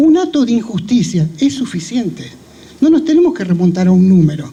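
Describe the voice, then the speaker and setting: The man's pitch is high and swings very widely. He speaks at a moderate pace. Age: 70s. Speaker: speaker at a memorial event, survivor of dictatorship. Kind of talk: commemorative speech. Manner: formal.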